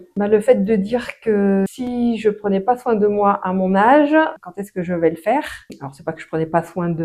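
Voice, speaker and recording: The tone is dark and mellow. Pitch varies in an ordinary way at a fairly slow pace. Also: woman. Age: 60s. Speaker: patient giving testimonial. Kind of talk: interview testimony. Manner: hesitant, many fillers.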